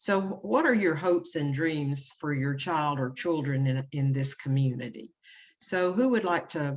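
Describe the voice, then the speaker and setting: In a Tennessee accent, a woman with a very deep, low pitch speaks at a moderate pace with ordinary pitch variation. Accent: Southern US (Tennessee). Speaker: education consultant. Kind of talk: presentation to parents.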